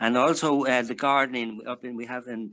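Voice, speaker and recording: A medium-pitched man with an Irish accent, a bright, sharp tone, fairly even intonation and a fairly quick pace. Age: 80s+. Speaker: men's shed member. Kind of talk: casual chat. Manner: halting.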